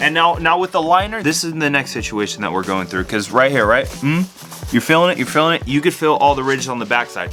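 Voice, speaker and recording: Speech races along at a very fast pace with very wide pitch swings. Music plays in the background. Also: man. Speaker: sneaker customizer and shoemaking teacher. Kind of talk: casual workshop vlog narration. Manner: casual, rambling rant.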